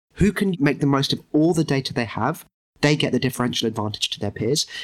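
A man is talking at a very fast pace. His pitch variation is ordinary. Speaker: podcast guest, insurance tech company CEO. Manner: fast talker.

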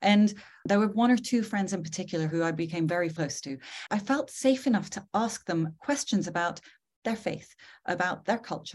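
A woman's somewhat breathy, medium-pitched voice at a moderate pace, with lively intonation and a quiet background. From northern England. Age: 40s. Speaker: podcast host and psychologist. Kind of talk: conversational interview. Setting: video call.

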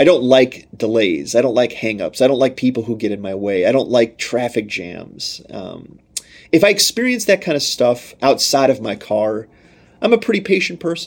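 A plain, everyday voice from a man, medium in pitch, at a moderate pace. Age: 30s. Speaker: pastor. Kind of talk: sermon-style podcast teaching.

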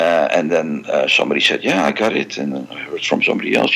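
With a Dutch accent, the speaker moves at a fairly quick pace while noticeable background noise runs underneath. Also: man. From Netherlands, Amsterdam. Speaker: music fan club president and collector. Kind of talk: interview.

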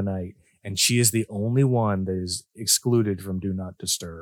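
An ordinary speaking voice with a Canadian accent and ordinary pitch variation. The recording is very clean, with a silent background. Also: man. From southwestern Ontario, Canada. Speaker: podcast co-host, father. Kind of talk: casual chat.

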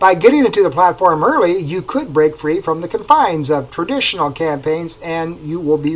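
A man's plain, everyday voice, fairly high in pitch, with ordinary pitch variation, a moderate pace and hardly any pauses. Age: 50s. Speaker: digital media marketer, podcast host. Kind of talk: solo informational podcast monologue.

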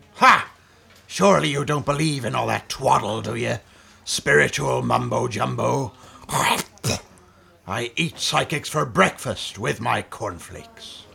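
A man puts on a character voice, fairly low-pitched and fairly slow, with long, frequent pauses and very wide pitch swings. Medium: comedy sketch. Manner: sinister, relishing.

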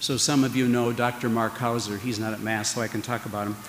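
A man speaks at a fairly quick pace with an American accent over noticeable background noise. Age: 60s. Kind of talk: homily. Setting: church with congregation. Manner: conversational, humorous.

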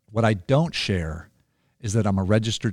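In a very clean recording with a silent background, a man with a normal speaking voice talks at a moderate pace, his fairly low pitch showing ordinary pitch variation. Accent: American. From California. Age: 50s. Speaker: author and guest. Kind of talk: casual interview. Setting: studio.

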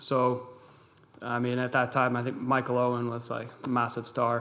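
There is noticeable background noise as the man talks at a medium pitch. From Massachusetts, US. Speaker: professional football goalkeeper. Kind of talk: interview. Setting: studio.

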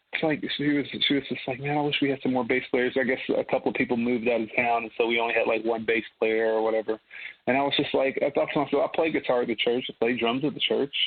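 A man with an American accent talks at a very fast pace in a medium pitch, his intonation fairly even. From US South, Birmingham, Alabama. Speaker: gospel bass player and online bass teacher. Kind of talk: casual interview. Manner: halting, many fillers.

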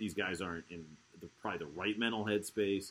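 Bright and sharp in tone, a man speaks in a Baltimore accent. His pace is fairly quick. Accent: Baltimore American. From Baltimore, US. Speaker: podcast host. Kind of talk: casual sports podcast chat. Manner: informal, joking.

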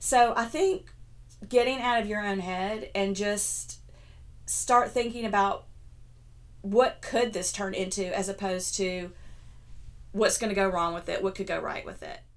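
A woman talks at a fairly slow pace with long, frequent pauses and big swings in loudness. Her medium pitch shows ordinary variation, and audible room echo surrounds her. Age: 50s. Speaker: blogger and health coach. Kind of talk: casual chat.

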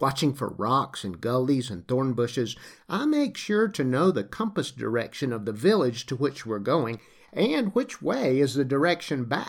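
In a very clean recording with a silent background, a man with a slight Southern US accent speaks at a medium pitch with very wide pitch swings. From US South, Lower Alabama. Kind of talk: scripted narration. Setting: home recording.

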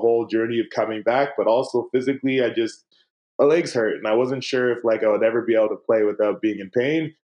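Medium pitch and ordinary variation from a man in a normal speaking voice. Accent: Canadian. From Canada, Winnipeg, Manitoba. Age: 30s. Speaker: former pro basketball player and coach. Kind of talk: casual interview.

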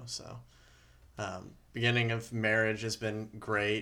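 Bright, sharp tone from a medium-pitched man with an American accent. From North Carolina, Winston-Salem. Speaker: law student. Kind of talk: casual interview.

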